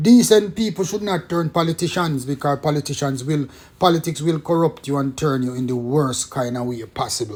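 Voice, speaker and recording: A man with a Jamaican accent speaks at a fairly quick pace in a fairly high pitch, his tone animated and his intonation lively. Music plays in the background. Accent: Jamaican English with patois features. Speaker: former police detective, political commentator. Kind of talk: video monologue commentary.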